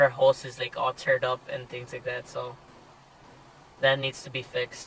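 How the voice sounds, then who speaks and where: A man's medium-pitched voice comes through at a moderate speed. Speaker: car vlogger. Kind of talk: casual vlog talk. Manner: hesitant, many fillers.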